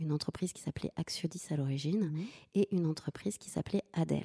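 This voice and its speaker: The voice has a dark, mellow tone and ordinary pitch variation. The recording is very clean with a silent background. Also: woman. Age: 40s. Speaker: business owner, data scientist. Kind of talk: interview. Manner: halting, many repetitions and fillers.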